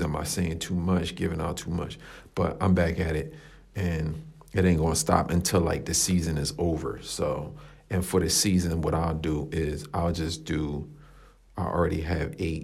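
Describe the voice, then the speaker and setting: In a room with audible echo, a man with a very deep, low pitch and a somewhat breathy voice speaks at a moderate pace with fairly even intonation. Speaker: fitness podcast host. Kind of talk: solo podcast monologue. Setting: coworking space room. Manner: casual, filler-heavy. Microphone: echoey room sound.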